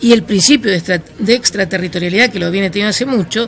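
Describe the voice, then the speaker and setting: Background noise is noticeable here. A woman does the talking. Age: 60s. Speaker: anti-money-laundering expert. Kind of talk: interview. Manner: halting.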